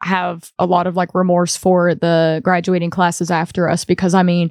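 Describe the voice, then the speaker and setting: A woman with an Appalachian accent and a medium pitch for a woman speaks at a moderate pace with monotone, flat intonation, in a dry, close sound with no echo over a quiet background. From Appalachia, southwest Virginia. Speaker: singer-songwriter. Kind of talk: casual interview chat. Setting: studio.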